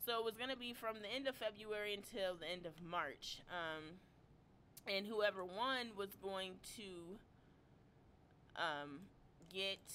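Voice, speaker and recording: With a bright, sharp tone and a medium pitch, a woman speaks at a fairly slow pace, using ordinary pitch variation and long, frequent pauses. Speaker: YouTube drama commentator. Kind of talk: live stream commentary. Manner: casual, chatty; soft-spoken. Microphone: volume problems.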